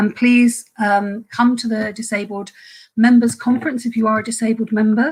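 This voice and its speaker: A somewhat breathy woman's voice with monotone, flat intonation at a moderate pace. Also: fairly high pitch for a woman. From Ireland. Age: 50s. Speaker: trade union activist. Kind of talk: webinar talk. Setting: online webinar. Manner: halting.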